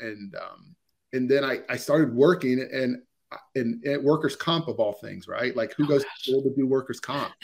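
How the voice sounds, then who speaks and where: This man has a medium pitch and fairly even intonation, speaking at a moderate pace. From Ohio, US. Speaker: organizational psychologist. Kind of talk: interview. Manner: hesitant, many fillers.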